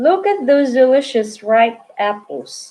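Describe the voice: A hissing, put-on character voice. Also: woman.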